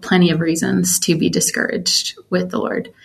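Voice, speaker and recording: With an American accent and a normal speaking voice, a woman talks at a moderate pace with fairly low pitch. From US South, Georgia (metro Atlanta). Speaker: worship singer and songwriter. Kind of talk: casual interview chat.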